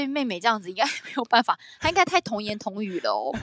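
A woman speaks at a fairly quick pace in a fairly high, animated voice with very wide pitch swings. The sound is dry and close with no echo, though background noise is noticeable. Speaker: podcast co-host. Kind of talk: casual chat.

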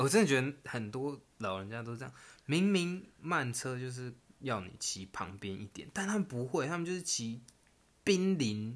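A man's voice swings very widely in pitch and makes big swings in loudness. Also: medium pitch for a man, moderate pace. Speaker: podcast co-host. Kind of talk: casual chat.

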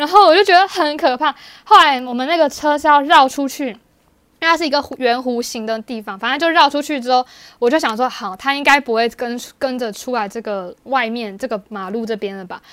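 A woman with a Taiwanese accent speaks at a fairly quick pace. Her high-pitched voice has lively intonation. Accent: Taiwanese Mandarin. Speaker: podcast co-host. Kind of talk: casual chat.

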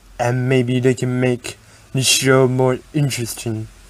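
A man speaks at a fairly slow pace in a medium pitch. There is noticeable background noise. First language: Taiwanese. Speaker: podcast host. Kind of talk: scripted narration.

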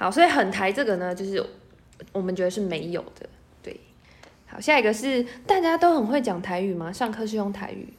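Over noticeable background noise, a woman with a medium pitch speaks at a fairly quick pace, with long, frequent pauses. Her pitch swings very widely and her loudness rises and falls sharply. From Taiwan, Miaoli, Hakka. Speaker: podcast host. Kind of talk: casual interview.

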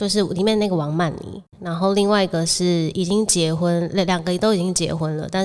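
A woman speaks at a fairly quick pace with a Taiwanese accent, her fairly low pitch moving in a fairly even intonation. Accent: Taiwanese Mandarin. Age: 20s. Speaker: podcast co-host. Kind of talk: casual chat. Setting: home-built studio.

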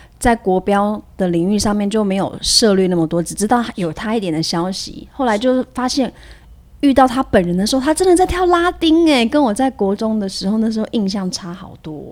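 Very wide pitch swings from a woman, fairly high in pitch and fairly quick in pace. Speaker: dance teacher. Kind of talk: casual interview chat.

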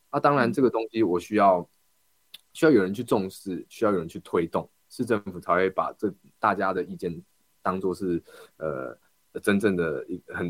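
In a normal speaking voice, a man talks at a fairly low pitch and a moderate pace. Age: 20s. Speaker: local council candidate. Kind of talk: interview.

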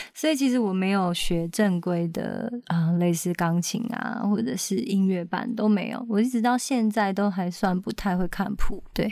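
With hardly any pauses, the voice moves at a moderate pace in a dark, mellow tone. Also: woman, medium pitch for a woman, ordinary pitch variation. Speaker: singer-songwriter and backing vocalist. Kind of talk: interview.

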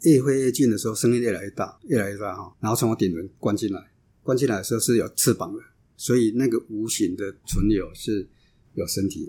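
A man with a dark, mellow tone and medium pitch talks at a fairly quick pace with ordinary pitch variation. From Taiwan, Changhua and Kaohsiung. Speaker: associate professor. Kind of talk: interview. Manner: halting.

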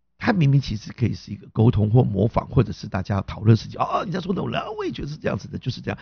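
A man at a very fast pace, medium in pitch, somewhat breathy, with very wide pitch swings. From Taiwan, Hakka background. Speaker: comedy and improv teacher, podcast host. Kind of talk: casual chat.

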